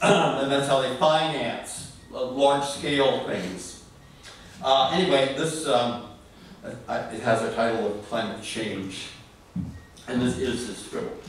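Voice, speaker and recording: A man speaks at a very slow pace with long, frequent pauses and ordinary pitch variation, his voice carrying strong room echo over light background noise. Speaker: poet at open reading. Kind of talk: spoken introduction then poetry reading. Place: stage. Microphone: camera far.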